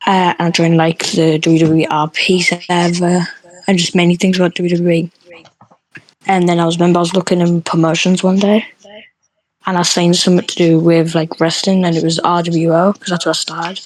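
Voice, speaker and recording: A woman speaks in a British accent at a fairly quick pace. Her intonation is monotone and flat. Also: fairly low pitch for a woman. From UK. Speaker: online roleplay wrestling referee. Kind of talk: casual podcast chat. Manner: hesitant, many fillers.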